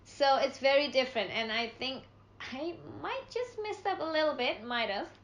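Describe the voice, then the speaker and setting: With an Indonesian accent, a woman speaks in a high pitch with very wide pitch swings against noticeable background noise. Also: moderate pace. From Indonesia (Java). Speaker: international student. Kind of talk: casual chat.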